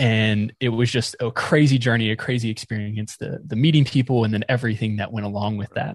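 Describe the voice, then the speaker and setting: An American accent from a man with an ordinary speaking voice, medium in pitch, with ordinary pitch variation, at a fairly quick pace with hardly any pauses. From North Carolina (near Raleigh). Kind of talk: interview.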